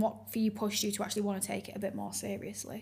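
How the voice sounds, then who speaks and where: A woman's somewhat breathy, medium-pitched voice at a very fast pace. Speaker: podcast host and fitness coach. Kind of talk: casual interview chat.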